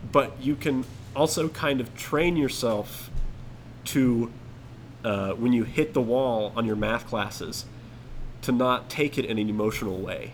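A man with an American accent at a medium pitch, with ordinary pitch variation, a fairly slow pace and long, frequent pauses. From US South, Atlanta area. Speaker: podcast guest, co-worker of host. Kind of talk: casual chat.

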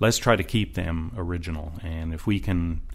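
A man talks in a Newfoundland accent. His pitch is very deep and low. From Newfoundland, St. John's. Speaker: municipal planner. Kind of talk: interview conversation.

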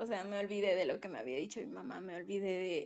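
A woman talks with ordinary pitch variation. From Mexico, Puebla. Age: 20s. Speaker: architecture student. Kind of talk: testimony. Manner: halting.

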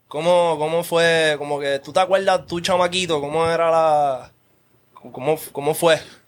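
A man with a Puerto Rican accent speaks at a fairly slow pace with a fairly high pitch and monotone, flat intonation. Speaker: podcast host. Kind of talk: casual chat.

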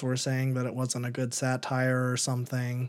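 On a very clean recording with a silent background, a man speaks at medium pitch and a moderate pace. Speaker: podcast host. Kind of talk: casual chat.

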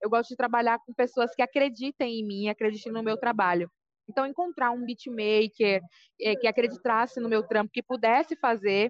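A woman speaks in a normal speaking voice, fairly high in pitch, with ordinary pitch variation at a moderate pace. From Brazil, Salvador, Bahia. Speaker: rapper and poet. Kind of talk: interview. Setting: on a break from dance class.

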